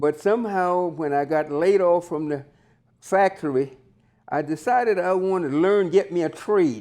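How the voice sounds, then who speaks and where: A man's high voice with a dark, mellow tone, moderate in pace, with ordinary pitch variation, over a quiet background. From US South, Georgia. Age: 80s+. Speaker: retired entrepreneur, auto body worker. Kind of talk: interview. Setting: on camera interview. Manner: halting.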